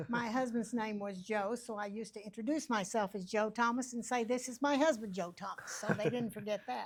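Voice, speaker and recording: Speaking with an American accent, a woman at a fairly high pitch moves at a fairly quick pace with hardly any pauses and ordinary pitch variation, over noticeable background noise. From Oklahoma. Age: 80s+. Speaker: retired school teacher. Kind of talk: interview before a youth church class.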